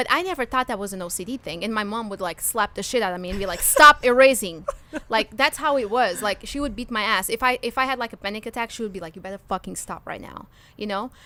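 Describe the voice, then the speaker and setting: A woman speaks at a very fast pace in a fairly high voice with a bright, sharp tone. Her intonation is lively, and her loudness swings widely. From Portugal. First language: Portuguese. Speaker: comedian. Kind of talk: casual chat.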